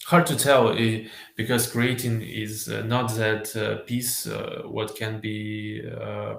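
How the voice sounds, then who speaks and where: Spoken very slowly in a Russian accent, the voice carries audible room echo. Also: man. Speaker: filmmaker and video editor. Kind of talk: interview. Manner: halting.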